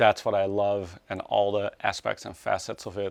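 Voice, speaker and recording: With a Dutch accent, a man with a fairly low pitch talks at a fairly slow pace in a dry, close sound with no echo. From Netherlands. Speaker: snowboard binding engineer. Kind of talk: documentary interview answer. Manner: soft-spoken.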